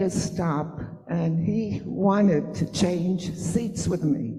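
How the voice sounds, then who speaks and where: A woman's somewhat breathy voice, fairly low in pitch with a dark, mellow tone, very slow pace, ordinary pitch variation, and audible room echo. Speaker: mother of the honoree. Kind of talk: storytelling at event.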